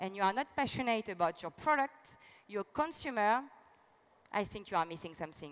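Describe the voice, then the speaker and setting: Speaking with a French accent, a woman uses a fairly high pitch and lively intonation. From France. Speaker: business executive. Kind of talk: keynote speech.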